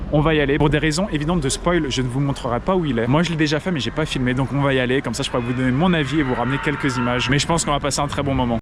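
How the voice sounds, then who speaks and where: A man rushes along at a very fast pace with hardly any pauses. His fairly high voice competes with noticeable background noise. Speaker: theme park vlogger. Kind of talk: casual vlog commentary. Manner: enthusiastic.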